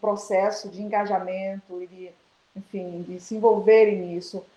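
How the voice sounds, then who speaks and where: Speaking at a fairly slow pace, a woman has a dark, mellow tone at medium pitch with monotone, flat intonation. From Baixada Maranhense, Maranhão, Brazil. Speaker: education professor. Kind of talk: interview. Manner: hesitant, many fillers.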